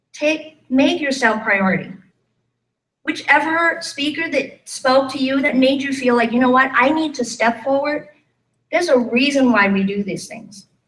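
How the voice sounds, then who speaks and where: Heard with audible room echo, a woman talks at a moderate pace in a high pitch with ordinary pitch variation. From Thailand. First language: Thai. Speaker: life and business coach. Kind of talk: motivational talk. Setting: stage with live audience. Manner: animated.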